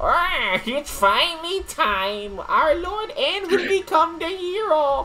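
Over clear background noise comes a put-on character voice, delivered at a very slow pace. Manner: excited, proclaiming.

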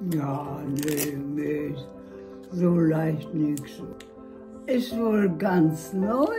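Clear music plays behind a woman speaking. Her voice is very deep and low, and her pace very slow. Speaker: grandmother testing VR. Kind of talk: casual conversation. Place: home room.

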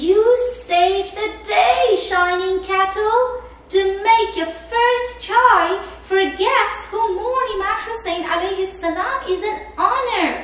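A woman puts on a character voice at an extremely high pitch, speaking at a fairly slow pace with clear echo. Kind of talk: children's story reading. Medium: read story. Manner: polite, enthusiastic. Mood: grateful, warm.

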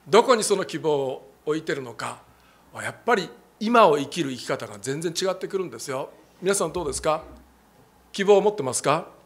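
A man with a fairly high voice speaks at a fairly quick pace. His intonation is lively, with big swings in loudness. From Japan. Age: 60s. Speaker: pastor. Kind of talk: sermon. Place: church. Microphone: handheld.

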